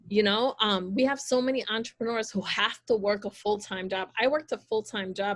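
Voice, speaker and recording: With a plain, everyday voice, a woman speaks at a fairly quick pace and medium pitch with ordinary pitch variation. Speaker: small business owner. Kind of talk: panel discussion.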